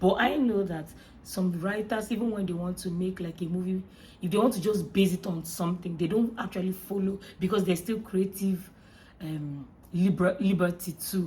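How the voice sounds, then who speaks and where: A woman's somewhat breathy voice with a dark, mellow tone, medium pitch and fairly even intonation. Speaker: YouTube movie reviewer. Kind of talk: casual movie review vlog. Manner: fast.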